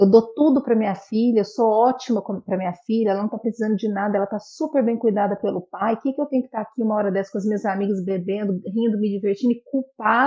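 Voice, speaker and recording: A woman speaks at a very fast pace with hardly any pauses, her fairly high voice somewhat breathy and her intonation fairly even. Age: 30s. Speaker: photographer. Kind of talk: casual chat.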